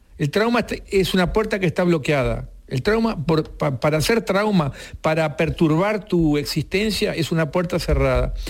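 Keeping his loudness very even, a man with a high pitch talks at a moderate pace with ordinary pitch variation. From Uruguay. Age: 70s. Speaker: author. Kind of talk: interview. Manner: halting, repeats words.

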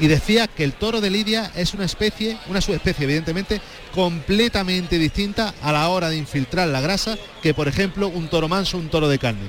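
Over noticeable background noise, a man talks at a fairly quick pace. His pitch is high, with ordinary variation. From Jaén, Andalusia. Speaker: bullfighting commentator. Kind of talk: live commentary. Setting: bullring.

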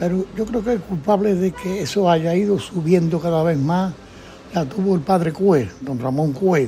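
A man with a high-pitched voice speaks at a fairly slow pace over noticeable background noise. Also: ordinary pitch variation. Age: 80s+. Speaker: elderly brotherhood member recounting memories. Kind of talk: oral history interview.

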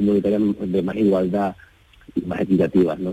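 A man talks at a moderate pace in a fairly low pitch. His tone is dark and mellow. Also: dry, close sound with no echo. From Huelva, Andalusia. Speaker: choreographer and dancer. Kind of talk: radio interview.

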